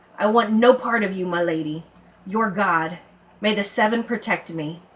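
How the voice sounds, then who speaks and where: A woman growls in a put-on character voice at a medium pitch, moving at a moderate pace with ordinary pitch variation. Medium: read story. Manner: plain, blunt.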